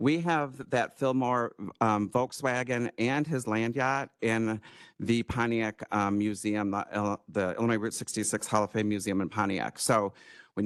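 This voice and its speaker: A man with an American accent speaks at a medium pitch against a quiet background. The sound is dry and close, with no echo. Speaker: tourism presenter. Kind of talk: presentation to county board. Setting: county board meeting room. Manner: fast.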